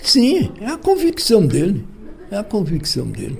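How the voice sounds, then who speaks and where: The man talks at a high pitch. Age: 80s+. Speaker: journalist and lawyer. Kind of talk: interview. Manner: halting.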